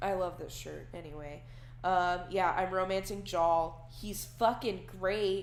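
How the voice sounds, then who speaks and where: A woman speaks at a fairly slow pace with a medium pitch. Room echo is audible. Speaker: digital artist. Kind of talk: casual chat over a real-time painting tutorial. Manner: casual, rambling with fillers.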